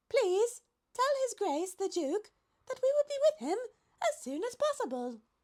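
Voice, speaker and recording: Here is a put-on character voice pitched extremely high and squeaky. It moves at a moderate pace. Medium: read story. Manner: polite, dignified.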